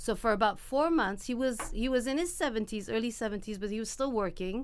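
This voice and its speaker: A woman at a moderate pace with ordinary pitch variation and audible room echo. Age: 50s. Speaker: physical therapist. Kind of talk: interview. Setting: studio.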